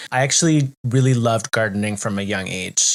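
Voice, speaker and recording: In a Canadian accent, a man with an unremarkable speaking voice talks at a fairly quick pace and medium pitch, captured in a very clean recording with a silent background and a dry, close sound with no echo. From Canada. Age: 40s. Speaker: podcast co-host. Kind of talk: casual chat.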